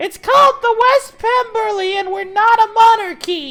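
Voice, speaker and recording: Shouting in a squeaky, extremely high-pitched put-on character voice at a moderate pace, the speaker is heard over music in the background. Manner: shouting up.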